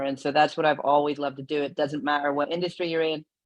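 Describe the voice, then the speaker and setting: Over a quiet background, a voice in a Northern Irish accent speaks with monotone, flat intonation. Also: woman. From Northern Ireland, Belfast. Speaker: CEO and founder. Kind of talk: interview.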